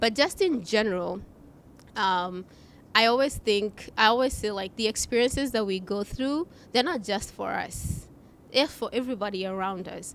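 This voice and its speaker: A woman speaks with an African accent. Her voice has a fairly high pitch and ordinary pitch variation. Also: moderate pace. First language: not English; English is her third language. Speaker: customer experience executive. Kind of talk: podcast interview.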